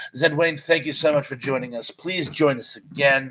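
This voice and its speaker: The pace is moderate. This man keeps his intonation fairly even. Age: 50s. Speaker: live streamer. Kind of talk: casual live stream chat reading viewer comments. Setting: live stream.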